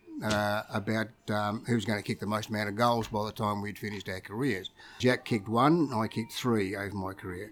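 Speaking with an Australian accent, a man uses fairly even intonation at a fairly low pitch. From Victoria, Australia (Ocean Grove). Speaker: retired footballer and club figure. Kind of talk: casual storytelling interview. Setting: restaurant.

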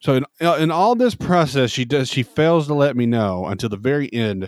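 With lively intonation, a man speaks at medium pitch and a moderate pace in an unremarkable speaking voice, the sound dry and close with no echo. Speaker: podcast host. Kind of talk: casual chat.

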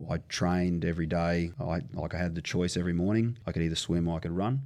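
Speaking very fast, a man with an Australian accent uses a very deep, low pitch. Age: 40s. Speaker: strength and conditioning coach. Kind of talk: casual chat.

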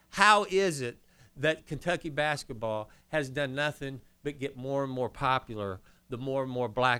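Speaking with an American accent, a man uses a bright, sharp tone at medium pitch and a moderate pace. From US Midwest, northern Indiana. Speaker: former college basketball player. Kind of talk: casual chat.

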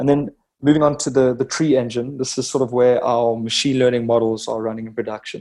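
Carrying a slight South African accent, a man with a dark, mellow tone speaks fairly quickly at medium pitch. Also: fairly even intonation. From South Africa, Cape Town. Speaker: head of software engineering at a drone startup. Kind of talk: interview.

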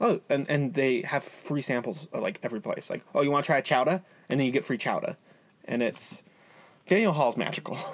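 Talking at a fairly quick pace, a man with an unremarkable speaking voice uses a fairly high pitch and ordinary pitch variation. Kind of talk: mock park announcer, playful ring-style intro.

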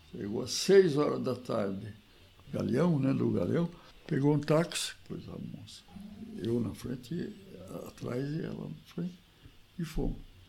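A man at medium pitch with vocal fry, very wide pitch swings, big swings in loudness, a fairly slow pace and long, frequent pauses. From Brazil, Piracicaba (São Paulo interior). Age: 80s+. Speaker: retired agronomist, former basketball player. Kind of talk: interview, reminiscing.

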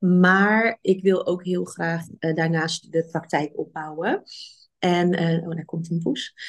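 A woman at a very slow pace, against a quiet background. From Netherlands, Rotterdam. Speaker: physician and coach. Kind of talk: podcast interview. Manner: halting.

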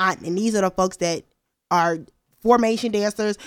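Heard on a very clean recording with a silent background, a woman talks with an American accent at a moderate pace. She has a normal speaking voice with ordinary pitch variation. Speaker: recent graduate. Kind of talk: casual chat.

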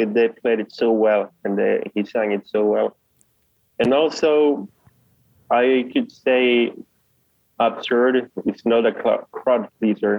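A man of medium pitch speaks very slowly. His intonation is fairly even, broken by long, frequent pauses. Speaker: music fan. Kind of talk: casual chat. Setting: video call.

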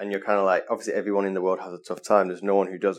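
A man speaks with a Mancunian accent. His pitch is fairly low. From northern England, Manchester. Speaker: travel photographer. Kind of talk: interview. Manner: casual, filler-heavy.

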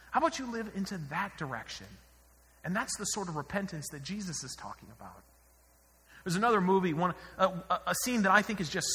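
A man uses a raised, projected voice at a high pitch. His intonation is lively. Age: 30s. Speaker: pastor. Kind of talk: sermon.

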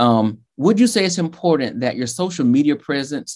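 A man with a Southern US accent talks fairly quickly, his pitch swinging very widely. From Georgia, US South. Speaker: podcast host. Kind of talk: interview.

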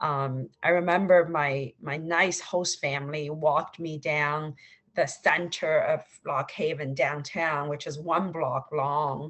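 A woman with a Chinese accent speaks in a very deep, low voice. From China (Suzhou, Shanghai). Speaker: venture capital investor. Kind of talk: interview. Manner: halting, many fillers.

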